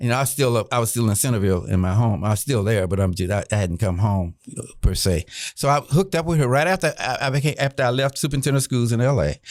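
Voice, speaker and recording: An American-accented man talks at a very fast pace and medium pitch, with lively intonation and hardly any pauses, on a very clean recording with a silent background. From US South (Orlando, Florida). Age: 70s. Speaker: retired admiral and educator. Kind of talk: podcast interview. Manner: frank, unfiltered.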